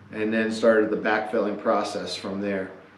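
The intonation is flat and monotone. Room echo can be heard along with light background noise. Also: man. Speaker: channel host. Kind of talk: casual project narration. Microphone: camera far.

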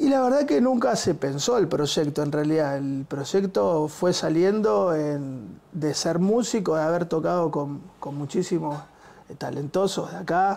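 A man's fairly high pitch in a dark, mellow tone, with lively intonation at a fairly slow pace. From Argentina, Buenos Aires area (Quilmes); Argentina. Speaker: musician, bassist and music school director; teacher, interview guest. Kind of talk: interview. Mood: relaxed, warm. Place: studio. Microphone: lapel.

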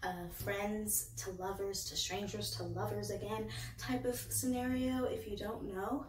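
A woman speaks at a fairly slow pace. Audible room echo and light background noise fill the recording. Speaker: book reviewer. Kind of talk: casual vlog chat. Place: home room. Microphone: phone near.

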